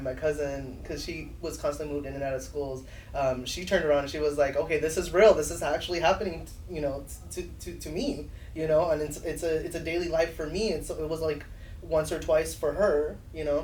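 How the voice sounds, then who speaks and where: A man with a Spanish accent talks at a fairly quick pace. There is audible room echo along with noticeable background noise. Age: 30s. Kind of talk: casual chat. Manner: animated.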